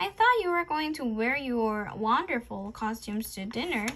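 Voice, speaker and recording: A woman uses a put-on character voice with a high pitch at a moderate pace, with clear background noise behind her. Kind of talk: comic vampire impression. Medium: read story. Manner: formal, old-world courtly.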